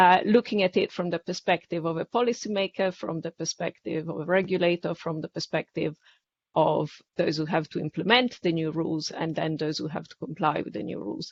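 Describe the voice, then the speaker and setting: A woman's fairly low-pitched voice with vocal fry, in an Italian accent. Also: ordinary pitch variation, fairly quick pace, big swings in loudness. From Italy. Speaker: public policy specialist at a bank. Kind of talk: webinar panel discussion. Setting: webinar.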